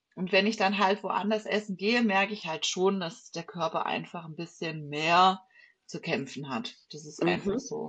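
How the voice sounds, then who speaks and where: This woman has an unremarkable speaking voice. Her pitch is medium, with ordinary variation. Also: moderate pace, big swings in loudness. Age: 30s. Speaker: bodybuilding athlete. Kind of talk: casual chat.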